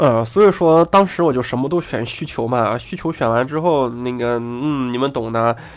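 Over music in the background, a man with a medium pitch talks at a moderate pace with ordinary pitch variation and hardly any pauses. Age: 30s. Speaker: gaming podcaster. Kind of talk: casual monologue. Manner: animated.

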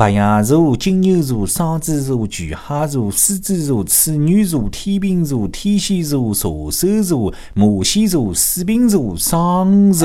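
With very wide pitch swings and hardly any pauses, a man speaks at a very slow pace and fairly high pitch amid audible room echo and noticeable background noise. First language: Shanghainese (speaking Chinese). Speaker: radio show host. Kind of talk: radio monologue telling jokes in Shanghainese. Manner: animated, laughing.

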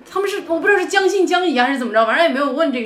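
A woman's voice with very wide pitch swings comes through audible room echo and noticeable background noise. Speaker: podcast guest. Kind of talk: casual chat. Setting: cafe.

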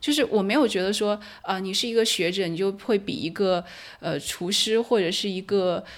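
A plain, everyday voice from a woman, medium in pitch, with ordinary pitch variation and a moderate pace. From mainland China. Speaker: anthropology doctoral researcher. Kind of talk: podcast interview.

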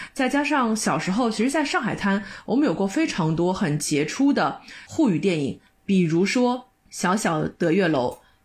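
A woman speaks at a medium pitch, somewhat breathy and fairly slow, with very wide pitch swings. The recording is very clean with a silent background. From Shanghai. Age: 30s. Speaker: podcast co-host, office worker. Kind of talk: casual chat.

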